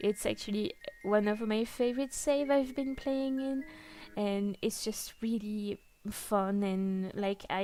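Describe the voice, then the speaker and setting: A fairly slow, fairly high-pitched woman's voice with a dark, mellow tone, ordinary pitch variation and a non-native accent. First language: not English. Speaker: gaming YouTuber. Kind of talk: casual chat. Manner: halting, many fillers.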